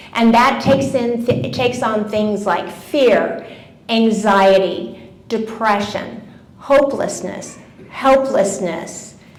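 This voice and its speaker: Amid noticeable background noise and audible room echo, a woman speaks very slowly at a fairly high pitch with ordinary pitch variation. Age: 70s. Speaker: wellness speaker. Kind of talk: talk to a live audience. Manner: conversational.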